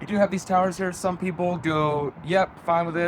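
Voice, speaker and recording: Noticeable background noise fills the recording. A man's voice is heard through it. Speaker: real estate agent. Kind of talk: property tour walkthrough. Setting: indoors and on patio of a house. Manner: casual, rambling.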